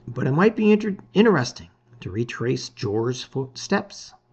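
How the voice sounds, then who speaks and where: Putting on a character voice, a man speaks at medium pitch and a moderate pace with very wide pitch swings. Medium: read story. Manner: slow, deliberate.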